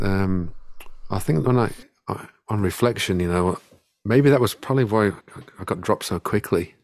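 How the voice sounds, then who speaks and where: A man speaks with an English Midlands accent at a moderate pace and a very deep, low pitch, with ordinary pitch variation. The recording is very clean, with a silent background. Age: 40s. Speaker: singer-songwriter. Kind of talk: casual chat. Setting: home studio. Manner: halting, many fillers and repeats.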